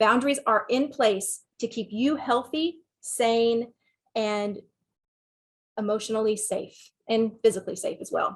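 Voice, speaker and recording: A woman with a Southern US accent talks at a fairly slow pace. Her pitch is fairly high, with ordinary variation. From Texas. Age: 40s. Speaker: sex therapist and counselor. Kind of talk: webinar talk with Q&A.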